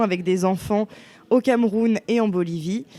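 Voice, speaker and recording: A woman's fairly high pitch carries a dark, mellow tone with ordinary pitch variation. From western France (Bressuire). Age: 20s. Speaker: university student. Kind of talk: testimony.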